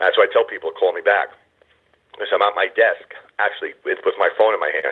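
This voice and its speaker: A loud, shouting man at an extremely high pitch. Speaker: conference call host for a membership society. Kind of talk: motivational talk on a group phone call. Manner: loud, passionate, sounds like yelling; excited, animated.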